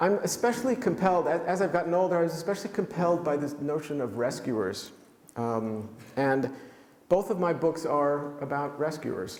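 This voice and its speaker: With a New York accent, a man talks at a moderate pace in a fairly high pitch and lively intonation, amid noticeable background noise and audible room echo. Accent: New York American. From New York City (Manhattan). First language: German. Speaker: author. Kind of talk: lecture. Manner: halting, many fillers.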